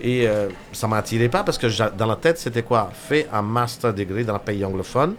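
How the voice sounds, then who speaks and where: A man at a medium pitch and fairly quick pace, ordinary pitch variation, noticeable background noise. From India. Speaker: restaurateur. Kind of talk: casual interview chat. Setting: radio studio. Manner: halting, hesitant with fillers.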